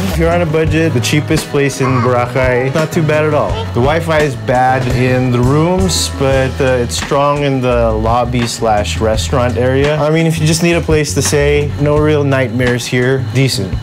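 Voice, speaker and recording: A man talks with hardly any pauses. Clear music plays behind him. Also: moderate pace. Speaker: travel vlogger. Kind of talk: casual vlog chat. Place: home room. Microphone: lapel.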